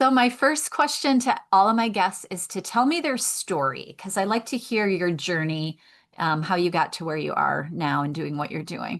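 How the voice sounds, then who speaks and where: A woman with a Michigan accent speaks with very wide pitch swings. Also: medium pitch for a woman, moderate pace, quiet background. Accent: Midwest Michigan. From Michigan, US Midwest. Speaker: podcast host, veterinarian life coach. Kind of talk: interview; reading guest introduction.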